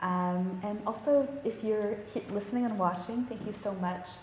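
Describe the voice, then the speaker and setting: Noticeable background noise and audible room echo both accompany a woman as she talks. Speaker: panel moderator. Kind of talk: panel discussion. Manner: fast.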